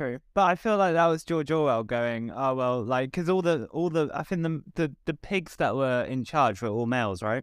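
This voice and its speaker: A man with a southern English accent, fairly high pitch, moderate pace and hardly any pauses, in a very clean recording with a silent background. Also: lively intonation. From southern England. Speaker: comedian. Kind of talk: casual chat.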